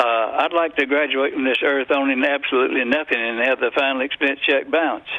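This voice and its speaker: Against noticeable background noise, a man with an American accent speaks in a monotone, flat intonation with hardly any pauses. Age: 80s+. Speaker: author and economist. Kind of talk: radio interview. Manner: halting, many filler words.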